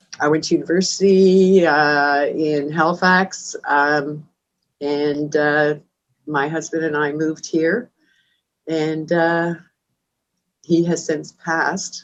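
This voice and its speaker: In a very deep, low voice, a woman speaks at a very slow pace, monotone and flat, with long, frequent pauses. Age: 60s. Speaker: food bank manager. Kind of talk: interview. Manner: halting.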